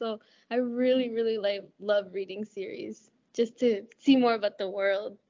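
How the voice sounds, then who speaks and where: Here a woman has a normal speaking voice. Her pitch is fairly high and her pace moderate. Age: 20s. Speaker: college student, book lover. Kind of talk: casual chat.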